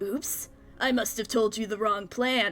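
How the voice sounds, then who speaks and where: Using a put-on, raspy character voice, a woman speaks at a fairly high pitch with fairly even intonation. Her pace is fairly slow, and clear background noise can be heard. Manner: low, quiet, conspiratorial.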